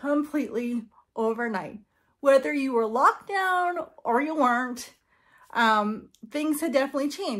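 The intonation is lively as a woman talks. Behind her, the background stays quiet. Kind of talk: casual vlog chat. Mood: earnest, slightly nervous. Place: home room. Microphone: phone near.

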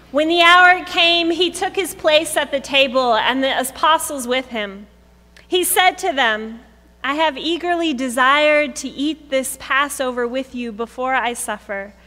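A woman speaks in a raised, projected voice at a fairly slow pace. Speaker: pastor. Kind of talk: scripture reading. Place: church. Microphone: podium.

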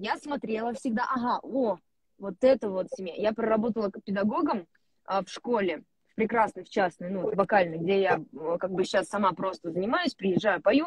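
A woman with lively intonation at a moderate pace, the sound dry with no echo and the background quiet. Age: 20s. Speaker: actress. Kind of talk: casual chat. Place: car. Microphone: mobile internet connection from a car; earbuds.

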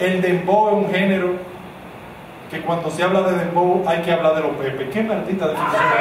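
The speech comes at a fairly quick pace, with noticeable background noise and audible room echo. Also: man, high pitch for a man. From Dominican Republic. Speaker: stand-up comedian. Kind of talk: stand-up comedy routine. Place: stage.

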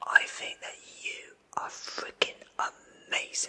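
A man is whispering. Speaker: presenter. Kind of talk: comedic address to camera. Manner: soft, close ASMR voice.

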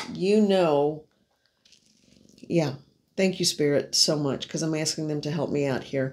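This is a woman with a fairly low pitch. Her intonation stays fairly even. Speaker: card reader. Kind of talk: casual spiritual reading chat. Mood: warm, gentle, reassuring. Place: home room.

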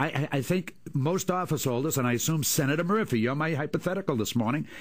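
Talking at a very fast pace, a man with an American accent has a fairly high pitch. His loudness stays very even against a quiet background. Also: ordinary pitch variation. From Boston. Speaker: former state politician. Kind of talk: talk radio debate. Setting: radio studio. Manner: stammering, hesitant. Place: studio.

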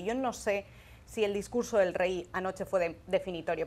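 Speech moves at a moderate pace. The pitch varies in an ordinary way. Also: woman. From Spain, Valencia. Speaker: foreign correspondent. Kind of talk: panel discussion. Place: studio. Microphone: lapel.

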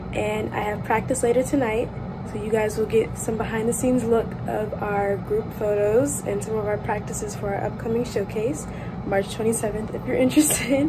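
Over loud background noise, a woman speaks at a moderate pace with ordinary pitch variation. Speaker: university student vlogger. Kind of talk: casual vlog chat. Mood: cheerful and relaxed. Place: home room. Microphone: phone near.

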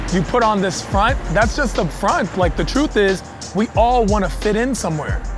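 Against clear music in the background, a man talks at a moderate pace with a high pitch in a dry sound with no echo. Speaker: comedian guest. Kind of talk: interview answer. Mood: reflective, earnest. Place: street.

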